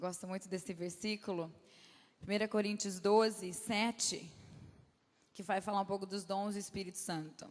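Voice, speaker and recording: With long, frequent pauses, a woman speaks at a medium pitch in a monotone, flat intonation. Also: moderate pace. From Brazil, Campinas. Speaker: guest speaker at church. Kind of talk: sermon. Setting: church. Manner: halting.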